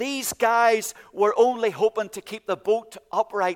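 The speaker talks at a fairly slow pace in a Northern Irish accent. The sound is dry and close with no echo. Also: man. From Northern Ireland, County Antrim. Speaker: pastor. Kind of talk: sermon. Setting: church.

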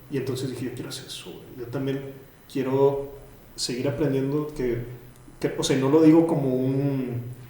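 A man with a medium pitch speaks in a monotone, flat intonation, with big swings in loudness, long, frequent pauses and audible room echo. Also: moderate pace. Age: 30s. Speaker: writer and podcaster. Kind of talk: casual interview.

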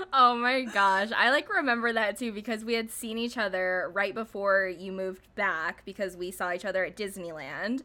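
Her tone bright and sharp, a woman speaks at a medium pitch and moderate pace with ordinary pitch variation. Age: 20s. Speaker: podcast co-host. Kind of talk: casual chat.

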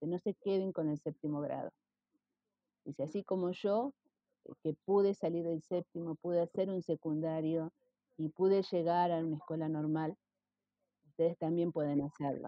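A woman talks with an Argentine accent in a fairly low pitch. Her intonation is fairly even, broken by long, frequent pauses. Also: moderate pace. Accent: Rioplatense Argentine Spanish. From Argentina, Rosario. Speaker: retired schoolteacher. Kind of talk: interview.

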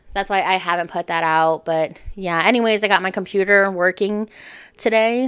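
A woman's medium-pitched voice at a moderate pace. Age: 20s. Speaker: podcast host. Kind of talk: casual solo monologue. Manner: animated, conversational.

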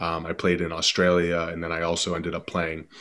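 The speaker has an American accent. There is noticeable background noise. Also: man. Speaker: podcast guest, rugby player.

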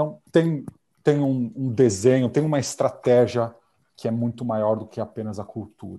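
Dark, mellow tone from a man at medium pitch, moderate pace and ordinary pitch variation. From Brazil. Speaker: corporate security manager. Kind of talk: casual interview.

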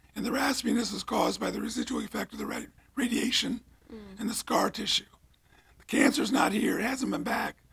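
A man talks very fast with an American accent, noticeable background noise behind him. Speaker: retired priest. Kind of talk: casual interview chat.

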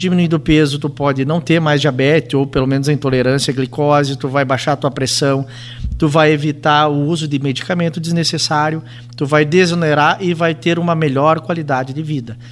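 A man speaks fairly quickly in a normal speaking voice with a fairly high pitch. His intonation stays fairly even. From Rio Grande do Sul, Brazil (Entre-Ijuís). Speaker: physician and hospital president. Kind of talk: casual radio interview.

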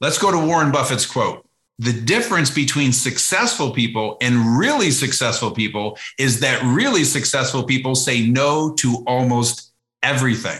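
Here is an unremarkable speaking voice: a man at medium pitch with ordinary pitch variation and very even loudness, speaking at a moderate pace on a very clean recording with a silent background. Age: 50s. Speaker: entrepreneur and business author. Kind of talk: podcast interview.

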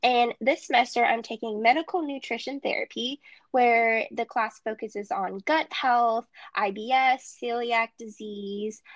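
In a dry, close recording with no echo, a woman with an unremarkable speaking voice talks at a fairly slow pace, her fairly high pitch showing ordinary variation. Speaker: podcast co-host, dietetics student. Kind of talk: casual chat.

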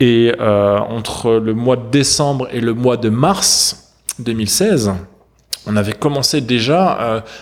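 There is noticeable background noise as a man speaks at a medium pitch with ordinary pitch variation. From southern France. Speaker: startup founder. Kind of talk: interview. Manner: halting, many fillers.

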